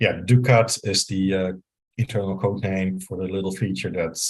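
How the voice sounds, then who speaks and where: This man speaks in a Dutch accent with a very deep, low pitch. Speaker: software engineer, CTO. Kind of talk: technical talk with live demo. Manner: hesitant, many fillers.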